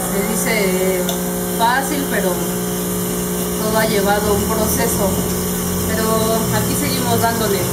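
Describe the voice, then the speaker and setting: A woman speaks at a fairly slow pace. Loud background noise surrounds her. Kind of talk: interview answer. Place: cafe. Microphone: camera far.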